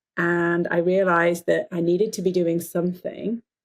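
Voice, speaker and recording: This woman speaks at a moderate pace in a medium pitch with an English accent. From England. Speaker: dentist and life coach. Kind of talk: podcast interview.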